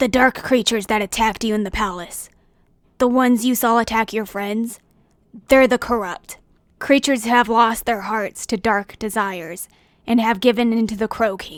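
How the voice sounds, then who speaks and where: A woman puts on a character voice with a fairly high pitch, speaking at a moderate pace. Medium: read story. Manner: serious, brisk.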